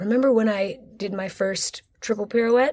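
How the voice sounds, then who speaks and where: A woman speaks in an animated tone, her voice somewhat breathy. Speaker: commercial dancer and podcast host. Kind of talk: interview.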